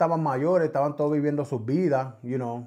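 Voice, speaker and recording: In a quiet setting, a man speaks with a dark, mellow tone and ordinary pitch variation. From New York City, Bronx (Puerto Rican family). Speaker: podcast guest. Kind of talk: testimony. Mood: reflective, earnest. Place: studio. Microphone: studio mic.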